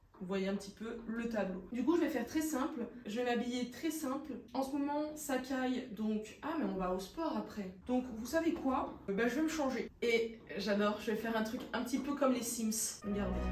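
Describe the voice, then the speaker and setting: At a moderate pace, a woman speaks in a high voice, with noticeable background noise and audible room echo. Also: ordinary pitch variation. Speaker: vlogger. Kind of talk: casual vlog talk to camera.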